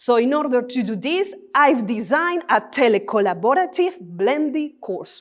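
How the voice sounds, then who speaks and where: At a moderate pace with hardly any pauses, a woman with a Spanish accent talks at high pitch with very wide pitch swings. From Colombia. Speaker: doctoral researcher and Spanish teacher. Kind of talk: three-minute thesis talk.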